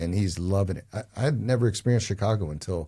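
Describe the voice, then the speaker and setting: On a very clean recording with a silent background, a man with an American accent speaks very fast in a very deep, low pitch, somewhat breathy, with a dark, mellow tone and ordinary pitch variation. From New Jersey. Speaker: real estate advisor. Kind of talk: casual interview chat. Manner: animated.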